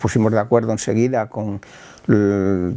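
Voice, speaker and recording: A man's dark, mellow voice, fairly low in pitch, at a fairly slow pace over a quiet background. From Spain, Talavera de la Reina (Castile). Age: 70s. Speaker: film club founder. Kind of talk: interview testimony. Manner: halting, with repetitions.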